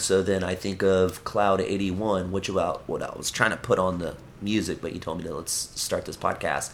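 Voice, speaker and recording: The speaker has an American accent and talks at a moderate pace. Noticeable background noise runs under the voice. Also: man. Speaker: punk musician. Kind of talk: casual chat. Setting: at home. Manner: animated.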